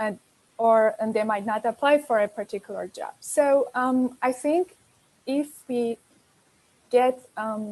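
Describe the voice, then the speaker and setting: A woman talks very slowly at a high pitch with long, frequent pauses and ordinary pitch variation. The sound is dry and close with no echo, on a very clean recording with a silent background. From Iran. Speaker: panel moderator. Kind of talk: panel discussion. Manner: halting, many fillers.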